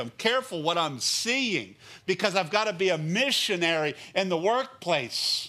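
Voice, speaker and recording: At a moderate pace, a man speaks in a raised, projected voice that is high-pitched, with a bright, sharp tone. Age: 50s. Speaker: pastor. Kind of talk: sermon. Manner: animated.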